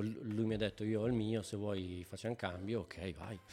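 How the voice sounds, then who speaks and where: On a very clean recording with a silent background, a man uses a normal speaking voice at a fairly low pitch and a fairly quick pace, with fairly even intonation. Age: 50s. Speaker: bass player and beer brewer. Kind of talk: casual chat.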